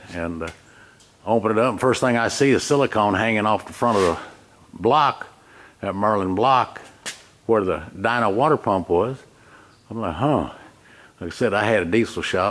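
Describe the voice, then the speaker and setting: In a Southern US accent, a man speaks at a moderate pace in a fairly low pitch, with ordinary pitch variation and long, frequent pauses. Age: 70s. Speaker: retired diesel mechanic. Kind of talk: casual complaint video. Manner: halting.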